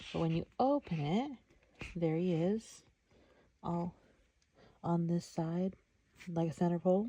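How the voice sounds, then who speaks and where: Soft-spoken and somewhat breathy, a woman talks in a dark, mellow tone. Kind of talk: ASMR soft-spoken product showcase, casual talk to camera.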